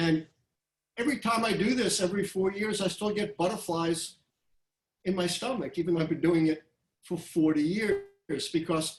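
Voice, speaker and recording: The speaker is a man with a high pitch. He talks at a moderate pace with ordinary pitch variation. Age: 70s. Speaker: history professor and election forecaster. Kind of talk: webinar Q&A talk. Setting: video webinar. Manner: animated.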